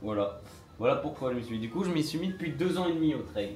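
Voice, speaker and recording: Room echo can be heard as a man talks with normal pitch movement over clear background noise. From northern France. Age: 20s. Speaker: trail runner and content creator. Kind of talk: casual live stream Q&A. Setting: Instagram live at home. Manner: casual, lots of filler hesitations.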